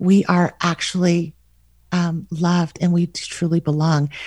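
A woman speaks in an American accent at a fairly low pitch, somewhat breathy. Her intonation is monotone and flat, on a very clean recording with a silent background. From US Southwest, Albuquerque, New Mexico. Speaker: author and podcaster. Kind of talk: casual interview.

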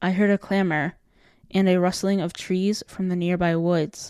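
A woman in a plain, everyday voice talks at a moderate pace with medium pitch and fairly even intonation, recorded very cleanly against a silent background with a dry, close sound and no echo. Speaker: podcast host and narrator. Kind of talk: horror narration, reading a creepypasta aloud. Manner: tense first-person storytelling, building dread.

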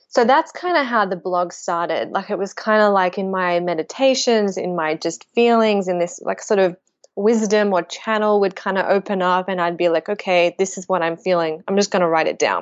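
An Australian-accented woman at medium pitch speaks at a moderate pace with hardly any pauses. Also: ordinary pitch variation. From Australia, Melbourne. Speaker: spiritual author and blogger. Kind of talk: interview conversation.

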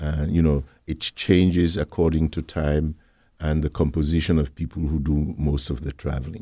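A man speaks at a very deep, low pitch with vocal fry and a dark, mellow tone. His intonation is monotone and flat, his pace moderate, and the sound dry and close with no echo. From Sierra Leone (Freetown), with some schooling in the UK. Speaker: English professor. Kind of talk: interview. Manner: hesitant, with frequent fillers.

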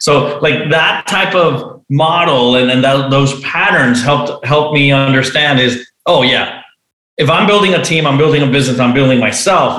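Audible room echo surrounds a man's fairly high voice. He speaks at a moderate pace with ordinary pitch variation. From Venezuela. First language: Spanish. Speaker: entrepreneur and author. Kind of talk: interview.

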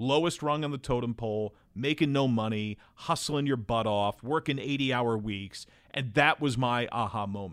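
A man with an American accent and a normal speaking voice talks at a moderate pace in a medium pitch with ordinary pitch variation, recorded very cleanly against a silent background. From New Jersey. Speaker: TV baseball play-by-play announcer. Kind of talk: casual interview chat.

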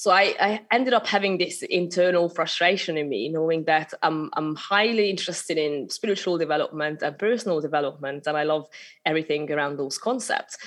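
Hardly pausing, a woman with a slight Hungarian accent talks at a fairly quick pace in a fairly low pitch. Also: ordinary pitch variation. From Hungary. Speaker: spiritual business mentor. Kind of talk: interview conversation. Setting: remote recording.

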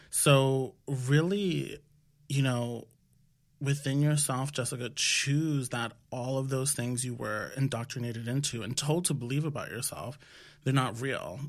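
A man with an American accent in a normal speaking voice, medium pitch and ordinary pitch variation at a fairly slow pace, on a very clean recording with a silent background. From New York City (Washington Heights), Dominican family. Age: 30s. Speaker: health startup founder. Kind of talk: casual interview. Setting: studio, seated at a table.

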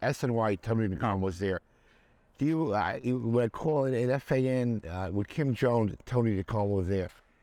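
The tone of this man's voice is dark and mellow, and the background is quiet. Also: medium pitch for a man, ordinary pitch variation, moderate pace. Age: 70s. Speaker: podcast host. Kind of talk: casual interview chat.

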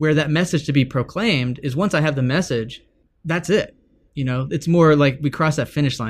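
A man's fairly high, somewhat breathy voice with an American accent, fairly quick pace and ordinary pitch variation. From Texas. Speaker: author and former pastor. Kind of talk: interview conversation.

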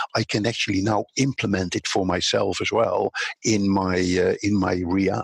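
Here a man speaks with a Dutch accent. His pace is moderate and his intonation fairly even. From Netherlands. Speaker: social media consultant. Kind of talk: interview.

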